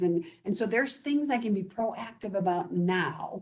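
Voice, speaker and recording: A woman talks at a moderate pace with medium pitch and ordinary pitch variation, in an ordinary speaking voice. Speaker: business development director at home care agency. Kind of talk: presentation. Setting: video call.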